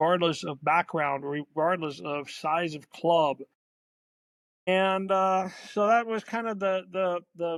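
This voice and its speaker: Speaking at a very slow pace, a man with a high pitch and ordinary pitch variation comes through on a very clean recording with a silent background. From Germany. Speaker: youth soccer league executive. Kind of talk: interview. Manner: halting, many fillers and repeats.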